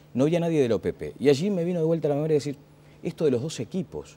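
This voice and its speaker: A man's dark, mellow voice at a very fast pace. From Uruguay. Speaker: TV host. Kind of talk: TV interview. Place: studio. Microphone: lapel.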